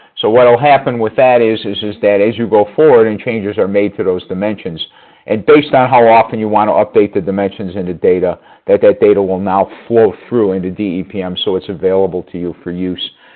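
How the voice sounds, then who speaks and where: This man talks at a fairly quick pace in an American accent, his fairly low pitch moving with ordinary variation. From New York. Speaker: software presenter. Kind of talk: product demo on a web meeting. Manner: fast.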